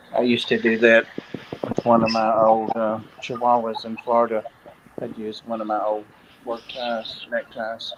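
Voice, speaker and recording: A man speaks at a moderate pace in a monotone, flat intonation. Noticeable background noise sits behind him. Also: medium pitch for a man. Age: 60s. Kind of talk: casual chat.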